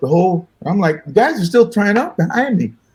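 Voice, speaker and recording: This man speaks at a fairly quick pace in a dark, mellow tone that is somewhat breathy. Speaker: musician. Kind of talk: casual chat, storytelling. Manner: fast; animated.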